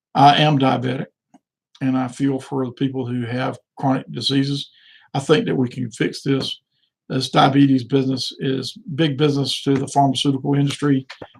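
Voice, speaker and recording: A man speaks at a moderate pace in a medium pitch, his intonation fairly even and his voice somewhat breathy. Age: 60s. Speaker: political candidate. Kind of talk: live stream monologue. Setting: live video stream. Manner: halting, repetitive fillers.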